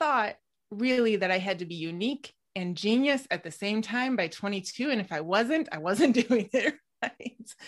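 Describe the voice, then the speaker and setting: Against a quiet background, a plain, everyday voice carries lively intonation. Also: woman. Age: 30s. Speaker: fiction writer and creative coach. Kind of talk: casual interview.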